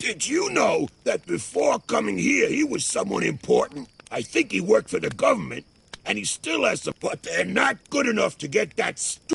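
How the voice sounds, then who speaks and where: A man's put-on character voice, raspy, at a moderate pace. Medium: video game. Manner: cynical, threatening.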